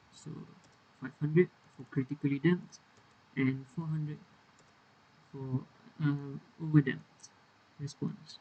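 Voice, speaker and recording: A man speaks slowly with a fairly high pitch and a dark, mellow tone, a somewhat breathy voice, big swings in loudness, and long, frequent pauses. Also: fairly even intonation. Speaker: university engineering student. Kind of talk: technical tutorial explanation. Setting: poor microphone, uneven volume.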